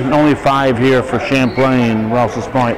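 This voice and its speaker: A fairly slow, fairly even delivery in a dry sound with no echo, amid noticeable background noise. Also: man. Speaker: amateur videographer announcer. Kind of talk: commentary. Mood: light-hearted, joking. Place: hall. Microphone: phone near.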